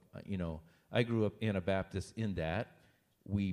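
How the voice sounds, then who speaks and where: A man with a central Pennsylvania accent, very deep and low in pitch, dark and mellow in tone, with fairly even intonation at a moderate pace. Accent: central Pennsylvania American. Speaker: pastor. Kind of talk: Q&A interview with congregation.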